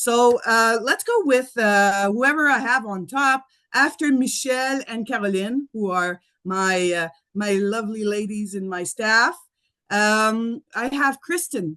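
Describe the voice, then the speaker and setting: A woman speaks at a fairly slow pace with a bright, sharp tone and fairly high pitch. Her pitch varies in an ordinary way, and the background is quiet. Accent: French. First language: French. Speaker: school principal. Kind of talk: presentation. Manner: halting.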